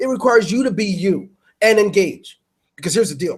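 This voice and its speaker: A loud man's high voice at a moderate pace, with lively intonation. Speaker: webinar host. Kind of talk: webinar talk. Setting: online webinar. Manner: animated.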